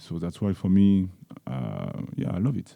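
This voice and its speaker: With a French accent, a man speaks at a fairly slow pace in a fairly low pitch with a dark, mellow tone. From France. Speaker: football coach. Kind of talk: press conference. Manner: halting.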